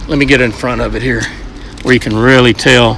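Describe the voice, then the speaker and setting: A man with a Southern US accent, medium in pitch, at a fairly quick pace, amid noticeable background noise. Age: 60s. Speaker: fishing video host. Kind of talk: product demonstration. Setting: marine shop. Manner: casual.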